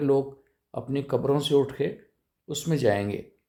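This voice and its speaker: Male speech of medium pitch with a dark, mellow tone. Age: 60s. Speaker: political commentator vlogger. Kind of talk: political monologue. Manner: halting; animated.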